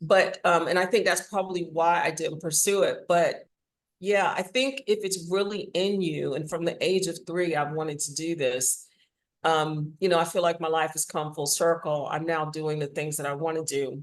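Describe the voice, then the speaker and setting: This woman has an ordinary speaking voice with an American accent and a fairly low pitch. Her pace is moderate, and her pitch variation is ordinary. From Washington DC, US. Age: 60s. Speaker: audio drama writer and actor. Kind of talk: interview.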